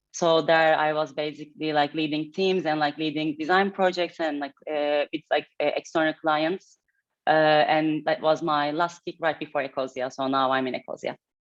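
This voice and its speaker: A woman's very deep, low voice in a monotone, flat intonation at a moderate pace. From Turkey, Istanbul. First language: Turkish. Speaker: head of design. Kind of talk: fireside chat interview. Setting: hybrid event with live audience.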